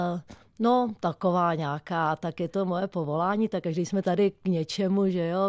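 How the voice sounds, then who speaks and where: At a moderate pace, a woman with a normal speaking voice talks at a fairly low pitch, the sound dry and close with no echo over a quiet background. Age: 50s. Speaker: stuntwoman. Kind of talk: radio interview. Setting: radio studio.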